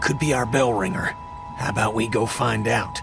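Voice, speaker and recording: A man's put-on character voice at a medium pitch and moderate pace, over loud background noise. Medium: voice reel. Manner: gruff.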